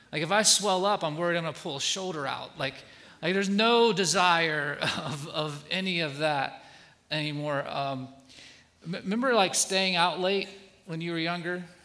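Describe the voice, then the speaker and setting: Moderate pace and ordinary pitch variation amid noticeable background noise and audible room echo. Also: man, high pitch for a man. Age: 40s. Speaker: guest pastor. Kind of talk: sermon. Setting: church stage with congregation.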